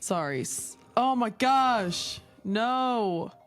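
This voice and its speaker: Intonation here is lively. Music plays in the background. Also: woman. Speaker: podcast host. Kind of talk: casual podcast interview.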